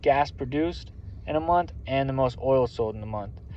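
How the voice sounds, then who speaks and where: A man talks at a medium pitch. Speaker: military veteran working as lease operator. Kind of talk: casual vlog monologue. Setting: at work. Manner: fast.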